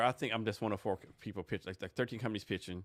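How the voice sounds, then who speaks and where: The recording is dry and close, with no echo. A man with an American accent speaks at a fairly low pitch. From Texas. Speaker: podcast host. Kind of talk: casual interview chat. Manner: fast.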